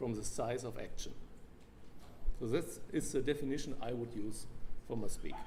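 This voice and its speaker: A man speaks with a German accent over audible room echo. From Germany. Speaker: biologist lecturer. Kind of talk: lecture. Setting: convention stage with audience.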